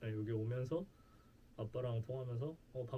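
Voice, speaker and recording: Speaking fairly quickly with a Gangwon accent, a man has a medium-pitched, dark, mellow, somewhat breathy voice and fairly even intonation. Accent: Gangwon regional Korean. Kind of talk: casual, conversational.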